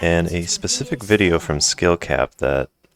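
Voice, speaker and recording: A man's very deep, low voice comes through with a dry, close sound and no echo. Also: very clean recording, silent background. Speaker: gaming commentator. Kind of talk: gameplay commentary.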